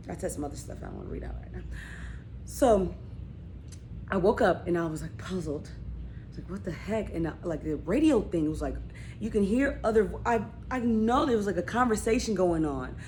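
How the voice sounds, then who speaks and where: A woman's voice swings widely in loudness, with audible room echo around it. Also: fairly quick pace. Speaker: vlogger. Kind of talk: casual storytelling vlog. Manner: rambling, halting with fillers.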